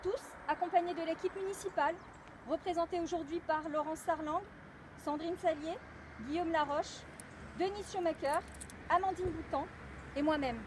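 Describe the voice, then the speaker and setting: A woman speaks loudly at an extremely high pitch, with ordinary pitch variation and long, frequent pauses over noticeable background noise. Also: moderate pace. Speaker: mayor. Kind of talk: commemorative speech. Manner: formal. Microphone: no microphone.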